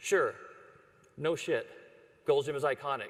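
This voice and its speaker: A man with a Texan accent, lively intonation and a fairly quick pace. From Texas (Dallas). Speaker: ad agency creative chief. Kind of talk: conference presentation. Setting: stage with audience. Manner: casual.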